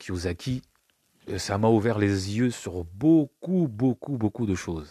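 A man's dark, mellow tone at a fairly slow pace, in a dry, close sound with no echo and a very clean recording with a silent background. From France, Paris region. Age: 40s. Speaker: podcast host. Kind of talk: solo monologue podcast. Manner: halting.

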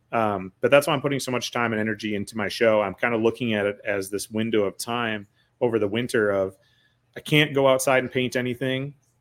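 A man with an Upper Midwest accent talks very fast at a medium pitch, his intonation fairly even. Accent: Upper Midwest American. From Wisconsin, Eau Claire area. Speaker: podcaster and entrepreneur. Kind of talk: casual chat.

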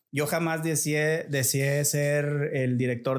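An ordinary speaking voice from a man at a fairly slow pace. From Nuevo León, Mexico (Montemorelos). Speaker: businessman. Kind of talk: casual interview.

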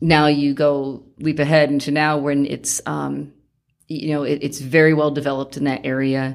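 In a very clean recording with a silent background, a woman speaks at a moderate pace. Her pitch is very deep and low, her intonation a flat monotone. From upstate New York. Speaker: middle school drama teacher. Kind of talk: interview. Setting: studio.

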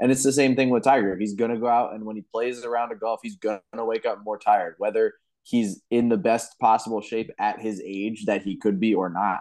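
Against a quiet background, a man with an unremarkable speaking voice speaks at a fairly quick pace, with a medium pitch and fairly even intonation. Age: 20s. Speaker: golf podcast co-host. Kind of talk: casual chat.

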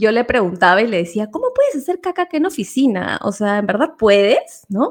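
A woman talks at a fairly quick pace with hardly any pauses. Her fairly high pitch moves in very wide swings. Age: 40s. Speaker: podcast co-host. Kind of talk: casual chat.

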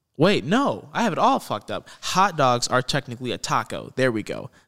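The recording is very clean, with a silent background. A man talks fairly quickly at a medium pitch with very wide pitch swings, a bright, sharp tone and vocal fry. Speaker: podcast host. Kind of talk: casual chat. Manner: enthusiastic, laid-back.

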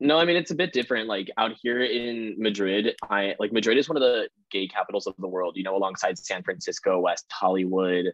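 A man with a General American accent talks at a fairly quick pace, his pitch varying in an ordinary way. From Colorado, US. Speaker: university student. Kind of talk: casual chat.

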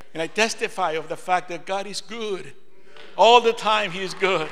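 Amid noticeable background noise and audible room echo, a man speaks in a high voice at a moderate pace with fairly even intonation. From Peru. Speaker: preacher. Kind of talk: sermon.

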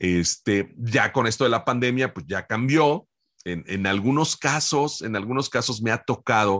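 In an unremarkable speaking voice, a man talks at a fairly slow pace and medium pitch with lively intonation, the sound dry and close with no echo against a quiet background. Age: 50s. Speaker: voice actor. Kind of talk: interview.

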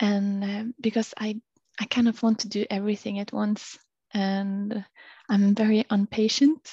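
A woman with a Norwegian accent speaks at a moderate pace in a somewhat breathy, fairly high voice with a dark, mellow tone and monotone, flat intonation, with a dry, close sound, no echo and a quiet background. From Norway. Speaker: PhD student, climber and yoga practitioner. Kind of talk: casual interview chat. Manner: halting, many fillers.

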